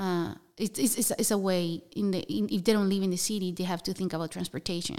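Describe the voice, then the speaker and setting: At a very fast pace, a voice with a Spanish accent and a dark, mellow tone speaks with ordinary pitch variation. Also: woman, medium pitch for a woman. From Colombia (Bogota). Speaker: nonprofit housing program staff. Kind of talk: interview. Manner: halting.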